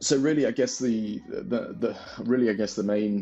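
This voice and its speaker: Over music in the background, the speaker goes at a very fast pace with fairly even intonation. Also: man. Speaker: business owner vlogger. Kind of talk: casual vlog monologue. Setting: home back bedroom. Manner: monotone; halting, many fillers and repeats.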